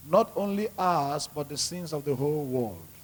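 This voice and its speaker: A man speaks at a fairly slow pace with fairly high pitch. His voice is somewhat breathy, with ordinary pitch variation. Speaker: prayer leader. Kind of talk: church prayer.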